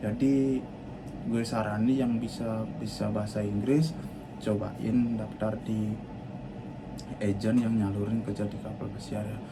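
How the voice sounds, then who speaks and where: A man speaks at a fairly slow pace with long, frequent pauses. Audible room echo and noticeable background noise are present. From Bali, Indonesia. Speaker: cruise ship worker and vlogger. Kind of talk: personal life story vlog. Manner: halting, with fillers and restarts; stiff, not yet fluent on camera.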